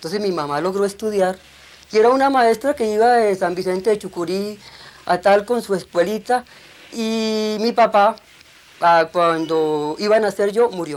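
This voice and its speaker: A woman at a medium pitch talks at a moderate pace with ordinary pitch variation in a normal speaking voice. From Colombia, Bogotá and rural Cundinamarca. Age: 60s. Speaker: documentary filmmaker. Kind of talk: testimony.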